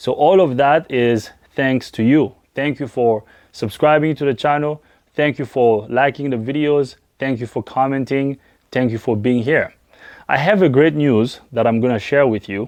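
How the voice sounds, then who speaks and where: In a French accent, a man talks at a moderate pace and medium pitch with ordinary pitch variation, in a quiet background. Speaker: auto mechanic. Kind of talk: personal vlog talk to camera.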